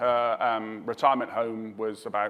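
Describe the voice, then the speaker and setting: The voice has a British accent. Its intonation stays monotone and flat. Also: man. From southwest England. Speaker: emergency response expert, panelist. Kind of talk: panel discussion.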